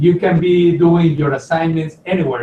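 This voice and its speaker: A man with a high pitch, amid noticeable background noise. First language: not English. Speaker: college lecturer. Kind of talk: online Q&A session. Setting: video call. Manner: hesitant, with fillers.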